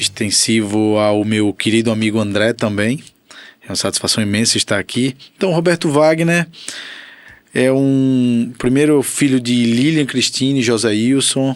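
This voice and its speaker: Speaking at a moderate pace and medium pitch, a man has an ordinary speaking voice, very even loudness, and ordinary pitch variation. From Aracaju, Sergipe, Brazil. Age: 30s. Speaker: physiotherapist. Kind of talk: interview.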